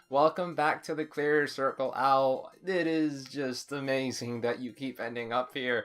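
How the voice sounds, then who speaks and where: A man's fairly high voice at a very slow pace, with music in the background. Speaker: vlogger. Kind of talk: casual vlog monologue. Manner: casual, informal.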